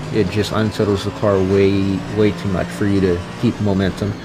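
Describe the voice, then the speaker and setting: With music playing in the background, a man speaks at a moderate pace in a fairly low voice. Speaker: gaming youtuber. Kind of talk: gameplay commentary. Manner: casual.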